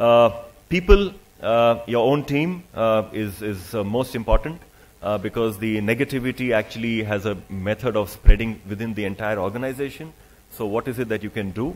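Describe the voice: A man talks at a fairly low pitch and a moderate pace. He leaves few pauses. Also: ordinary pitch variation.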